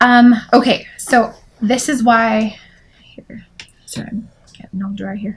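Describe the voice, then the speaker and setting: A woman speaks fairly slowly in a somewhat breathy, flat monotone. Long pauses come often. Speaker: craft podcast host; sewing vlogger. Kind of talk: casual chat. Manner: halting, many fillers. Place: home room. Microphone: camera far.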